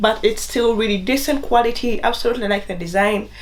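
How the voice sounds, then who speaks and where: Someone with a non-native accent speaks amid noticeable background noise and audible room echo. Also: woman. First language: not English. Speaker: fashion YouTuber. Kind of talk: try-on haul review. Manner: casual and chatty.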